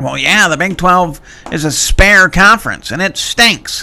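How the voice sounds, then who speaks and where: Using a put-on character voice, a man speaks at a moderate pace in a high pitch. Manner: gruff, tough-guy.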